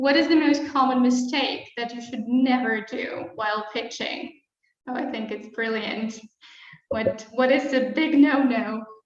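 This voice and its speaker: A woman with a non-native accent and a high pitch talks at a fairly slow pace, with fairly even intonation, long, frequent pauses and big swings in loudness, and audible room echo. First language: not English. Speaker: webinar host, marketing executive. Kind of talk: live webinar interview. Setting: live stream.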